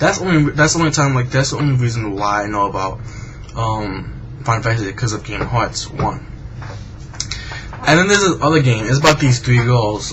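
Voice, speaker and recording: A man talks at a fairly quick pace with a medium pitch and ordinary pitch variation. Noticeable background noise and audible room echo fill the recording. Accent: American. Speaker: gaming vlogger. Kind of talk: casual video blog monologue. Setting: at home at night, webcam. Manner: halting, many fillers and restarts.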